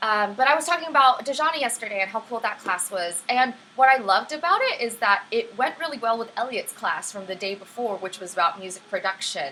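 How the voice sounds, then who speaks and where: A woman speaks at a fairly quick pace in a high, upbeat voice with lively intonation over noticeable background noise. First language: Vietnamese. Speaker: livestream STEM teacher. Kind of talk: live-streamed lesson with chat. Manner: friendly, upbeat.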